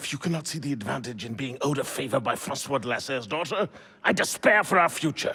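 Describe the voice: A man puts on a character voice at medium pitch, bright and sharp with a husky, rough edge, moving at a fairly quick pace with lively intonation.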